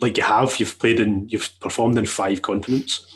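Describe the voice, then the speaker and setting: A man speaks with a Glaswegian accent against a quiet background. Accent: Glaswegian Scottish. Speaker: podcast host. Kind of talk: casual chat.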